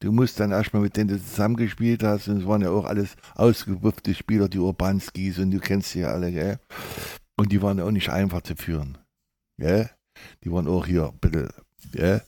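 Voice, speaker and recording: In a very clean recording with a silent background, a man with a fairly low pitch and a dark, mellow tone talks at a moderate pace, with ordinary pitch variation and long, frequent pauses. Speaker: former footballer and coach. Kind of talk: interview.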